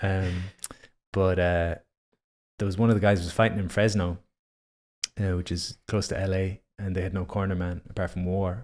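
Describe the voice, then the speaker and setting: With an Irish accent and a very deep, low pitch, a man speaks in a monotone, flat way at a moderate pace, leaving long, frequent pauses, on a very clean recording with a silent background. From Ireland. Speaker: breathwork instructor. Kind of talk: casual chat.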